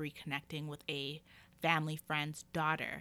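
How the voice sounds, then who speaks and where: A bright, sharp tone at a moderate pace. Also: woman. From Calgary, Alberta, Canada. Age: 30s. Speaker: podcast host. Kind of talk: personal storytelling monologue. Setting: home recording. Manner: casual, laughing.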